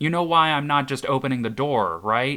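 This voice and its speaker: A man is shouting in a put-on character voice. His pitch is fairly high. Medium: read story. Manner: pleading, shouting over wind.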